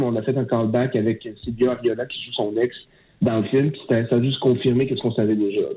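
At a fairly quick pace, a man speaks with fairly even intonation in an unremarkable speaking voice of medium pitch. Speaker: film director. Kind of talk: interview.

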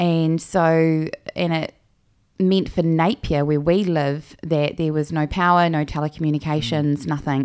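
Speech in a New Zealand accent comes at a moderate pace with fairly even intonation. The recording is very clean, with a silent background. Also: woman, very deep, low pitch for a woman. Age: 30s. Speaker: pro-life podcast host. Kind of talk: personal testimony.

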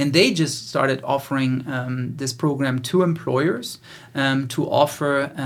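This man talks at a moderate pace, his medium pitch held in a fairly even intonation. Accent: German. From Germany. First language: German. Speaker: podcast host and business founder. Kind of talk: casual interview.

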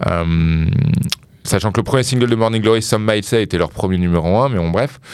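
A man with a fairly low pitch and ordinary pitch variation speaks fairly quickly amid noticeable background noise. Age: 30s. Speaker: music specialist. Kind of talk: casual chat. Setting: studio.

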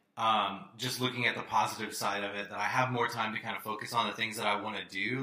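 A man's fairly quick speech with fairly even intonation amid noticeable background noise. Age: 30s. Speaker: podcast host. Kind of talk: casual chat. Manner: hesitant, many fillers.

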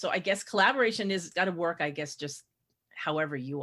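A woman with a very deep, low pitch speaks at a fairly quick pace with lively intonation and a bright, sharp tone on a very clean recording with a silent background. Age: 60s. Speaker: podcast host and mystery writer. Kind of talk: casual interview.

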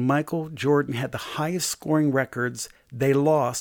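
In an American accent, a man talks at a moderate pace with a fairly high pitch and fairly even intonation, a plain, everyday voice. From US, Delaware. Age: 60s. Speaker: pastor and prophet, author. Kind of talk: interview about faith and leadership.

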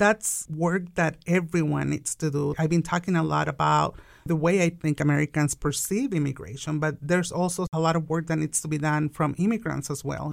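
Speaking at a fairly quick pace in a Mexican accent, the voice keeps fairly even intonation and hardly pauses at all. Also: woman, very deep, low pitch for a woman. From Mexico. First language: Spanish. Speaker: business owner. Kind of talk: interview. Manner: laughs often.

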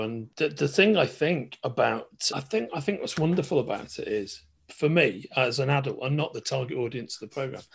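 A man talks at a fairly quick pace. His voice is somewhat breathy, with very wide pitch swings. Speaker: podcast host. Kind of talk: casual interview.

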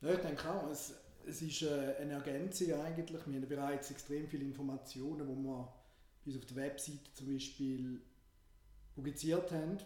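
Speaking at a moderate pace, a man with a fairly high pitch keeps fairly even intonation amid audible room echo. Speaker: business consultant and podcast co-host. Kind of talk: casual podcast chat.

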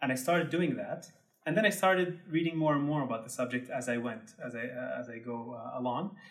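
A man speaks with an Arabic accent. His pace is fairly quick. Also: medium pitch for a man, lively intonation. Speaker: tour guide and Instagram creator. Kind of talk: casual interview.

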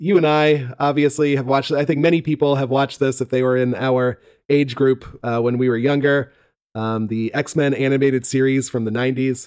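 A man with a plain, everyday voice, medium pitch, moderate pace and fairly even intonation. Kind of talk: casual chat. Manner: joking, banter.

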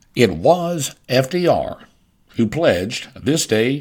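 This man speaks with a Southern US accent. His pitch sits in the medium range. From US South. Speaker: podcast host. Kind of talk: scripted narration.

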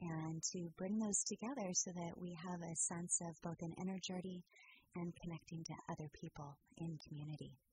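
The voice has a dark, mellow tone and is somewhat breathy. It moves at a moderate pace with fairly even intonation. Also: woman, fairly low pitch for a woman. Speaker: music historian and pre-concert lecturer. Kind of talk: radio interview. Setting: studio.

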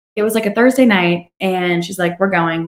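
A woman speaks in an unremarkable speaking voice. Her intonation is lively. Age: young. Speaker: singer-songwriter. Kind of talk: casual interview chat. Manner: fast, run-on.

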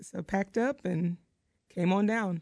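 Using a plain, everyday voice, a woman talks at a medium pitch with ordinary pitch variation. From North Carolina, Outer Banks. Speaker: home renovation TV personality. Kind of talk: radio interview.

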